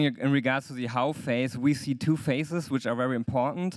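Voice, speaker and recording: At a fairly quick pace, a man with a German accent talks at a medium pitch on a very clean recording with a silent background. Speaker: lawyer. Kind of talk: conference talk. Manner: hesitant, many fillers.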